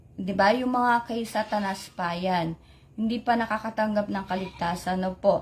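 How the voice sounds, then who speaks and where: A woman speaks at a fairly slow pace with a fairly high pitch. Her voice is somewhat breathy and her intonation fairly even. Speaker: lay preacher. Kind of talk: religious sharing on live stream. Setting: Facebook live stream. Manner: code-switching Tagalog-English, halting with fillers.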